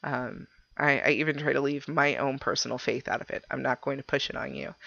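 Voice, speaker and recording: Against a quiet background, a woman speaks at a moderate pace with vocal fry. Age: 20s. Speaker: podcast host. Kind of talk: casual chat. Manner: halting, stumbling over words; nervous laughter.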